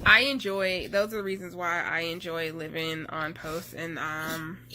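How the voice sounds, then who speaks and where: A woman with an American accent at a fairly low pitch, bright and sharp in tone, at a fairly slow pace with ordinary pitch variation and audible room echo. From US South, North Carolina. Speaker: army spouse vlogger. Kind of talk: casual vlog talk.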